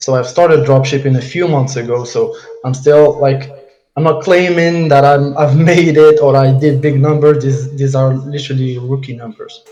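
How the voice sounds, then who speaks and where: A man speaks in a fairly high, somewhat breathy voice with a dark, mellow tone, flat monotone intonation and audible room echo. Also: moderate pace. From Morocco. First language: Arabic and French. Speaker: dropshipping entrepreneur. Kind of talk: case study presentation on a live call. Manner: halting, stumbling over words.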